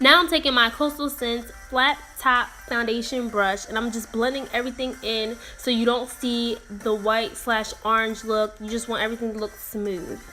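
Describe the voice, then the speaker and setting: A woman's voice, fairly high with ordinary pitch variation, comes through noticeable background noise. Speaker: beauty vlogger. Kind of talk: makeup tutorial voiceover. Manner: fast.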